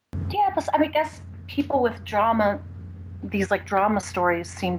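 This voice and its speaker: A woman talks at a middling speed, with clear background noise throughout. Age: 30s. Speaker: caller. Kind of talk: personal call-in conversation. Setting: Skype call. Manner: halting.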